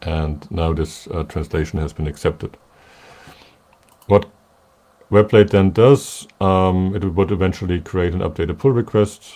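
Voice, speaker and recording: A man with a German accent speaks in a very deep, low voice with a dark, mellow tone and long, frequent pauses. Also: ordinary pitch variation, fairly slow pace. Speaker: software developer presenting a webinar. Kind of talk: technical demo webinar.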